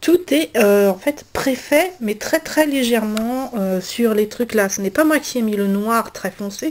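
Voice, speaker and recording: A woman's fairly slow speech, fairly high in pitch with ordinary pitch variation. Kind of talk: casual talk to camera, coloring tutorial. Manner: hesitant, many filler sounds.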